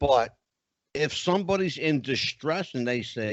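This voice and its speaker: A man at a fairly slow pace with lively intonation. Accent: Philadelphia. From Philadelphia, US. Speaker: psychic medium and show host. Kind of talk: casual chat.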